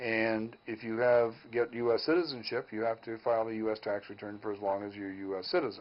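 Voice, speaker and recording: This man talks at a fairly quick pace with hardly any pauses, in a medium pitch and fairly even intonation. He has a plain, everyday voice. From Canadian prairies. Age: 60s. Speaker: mortgage broker. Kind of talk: call-in advice show.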